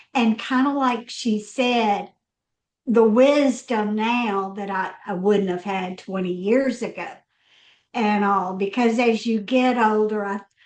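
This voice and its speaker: Speaking at a very slow pace, a woman keeps her fairly high voice fairly even in intonation. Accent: Southern US. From US South, Mississippi. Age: 60s. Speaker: business strategist. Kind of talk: roundtable conversation.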